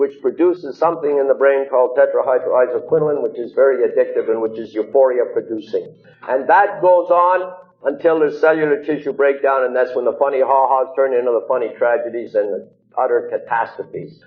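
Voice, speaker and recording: A man's fairly quick delivery comes with music in the background. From Montreal, Quebec. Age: 60s. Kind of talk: recovery talk to audience. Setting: church hall with audience.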